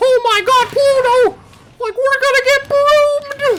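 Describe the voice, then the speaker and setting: A put-on character voice, squeaky and extremely high in pitch, speaks at a fairly slow pace. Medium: game stream.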